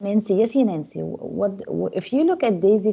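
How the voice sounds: The speaker reads in a natural voice, the intonation lively throughout.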